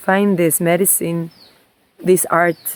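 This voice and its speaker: A woman speaks at a very slow pace with a Spanish accent. Her pitch is medium. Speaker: somatic movement and water therapy practitioner. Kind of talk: reflective personal vlog. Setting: outdoors by a stream.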